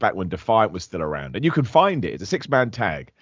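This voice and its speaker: A man with a southern English accent, very fast pace and lively intonation. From England, Luton. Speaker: professional wrestler. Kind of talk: casual interview.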